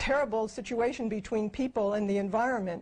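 A woman speaks at a moderate pace with a fairly high pitch. Her intonation stays fairly even. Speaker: co-founder of a futurist project. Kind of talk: interview. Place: home room.

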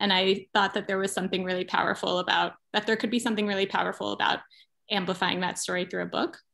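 A bright, sharp tone at a very fast pace, with vocal fry, an American accent, monotone, flat intonation and a quiet background. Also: woman, medium pitch for a woman. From California. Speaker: writer and activist; guest. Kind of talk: interview. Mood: thoughtful, reflective. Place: home room. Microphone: video call.

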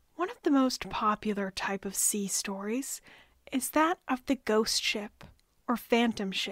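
A plain, everyday voice from a woman, fairly high-pitched, with lively intonation at a fairly slow pace. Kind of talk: history podcast narration.

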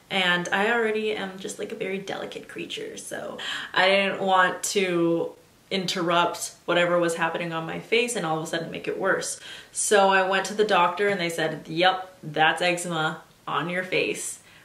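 A woman speaks at a medium pitch and moderate pace with fairly even intonation. Room echo is audible. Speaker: lifestyle vlogger. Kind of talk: personal story vlog. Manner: casual and chatty. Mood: candid, expressive storytelling.

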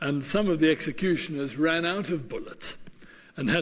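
A man speaks with lively intonation and a fairly high pitch. Room echo can be heard around his voice.

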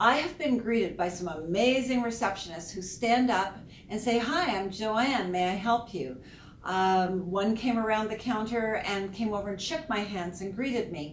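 Moderately paced speech from a woman, light background noise and audible room echo around her. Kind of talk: business advice talk to camera. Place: office.

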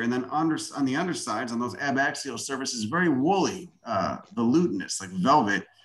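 A man with a Chicago accent speaks at a moderate pace. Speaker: self-taught botanist and plant video maker. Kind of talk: lecture. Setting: video call. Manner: casual and profane.

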